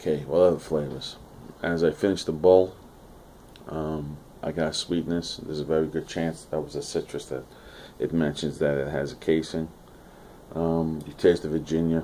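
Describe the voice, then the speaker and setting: Very deep and low in pitch, a man speaks at a moderate pace with monotone, flat intonation. He leaves long, frequent pauses. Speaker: pipe tobacco reviewer. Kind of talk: product review. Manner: halting, many fillers.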